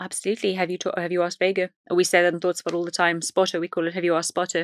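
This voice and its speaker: In an Irish accent, a woman with a fairly low pitch speaks very fast in a monotone, flat intonation, the sound dry and close with no echo. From Ireland, west coast. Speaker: data and AI executive. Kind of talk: podcast interview.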